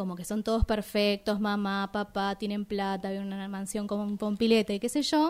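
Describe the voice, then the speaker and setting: A woman speaks at a moderate pace with a fairly high pitch and a plain, everyday voice. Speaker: radio film show co-host. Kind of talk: casual chat.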